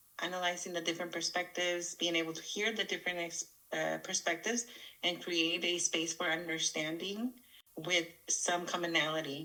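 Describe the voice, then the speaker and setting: A woman at a fairly quick pace, fairly even intonation, and noticeable background noise. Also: fairly low pitch for a woman. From Mexico, moved to US at eight. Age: 30s. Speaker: podcast co-host. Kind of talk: casual podcast introduction.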